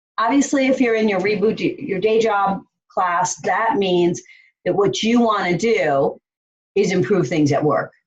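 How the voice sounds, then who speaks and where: A woman speaks at a medium pitch with very even loudness and a fairly slow pace. Her voice is somewhat breathy, and her intonation is lively. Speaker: life coach. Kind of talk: online course lesson.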